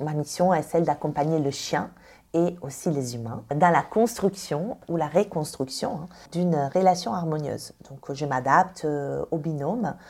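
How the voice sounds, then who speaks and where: With an Italian accent, a woman speaks at a very deep, low pitch. She goes at a fairly slow pace with ordinary pitch variation. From Italy. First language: Italian (speaking French). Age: 30s. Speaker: dog trainer and professional dog walker. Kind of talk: podcast interview.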